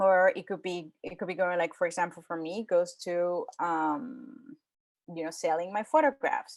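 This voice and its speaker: A woman talks in a normal speaking voice at a moderate pace. Her pitch is medium and her intonation lively. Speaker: photographer and presenter. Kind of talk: presentation to a club.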